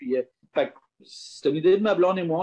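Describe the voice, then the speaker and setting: A man has a plain, everyday voice. He speaks at a moderate pace with fairly even intonation. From Quebec, south shore of Quebec City. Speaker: distillery and vineyard owner. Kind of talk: interview.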